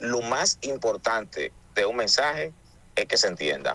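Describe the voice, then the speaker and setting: This man's voice has a dry, close sound with no echo. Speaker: pastor. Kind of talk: call-in radio show.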